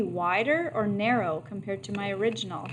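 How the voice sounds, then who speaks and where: There is audible room echo. A woman speaks at a medium pitch. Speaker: math teacher. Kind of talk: lecture. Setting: online video lesson.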